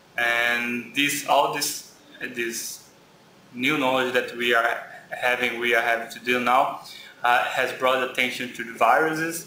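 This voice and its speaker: A man speaks at a fairly slow pace with a Brazilian Portuguese accent, his medium-pitched voice flat and monotone. Room echo is audible, and there is noticeable background noise. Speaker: graduate student. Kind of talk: lecture. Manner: halting.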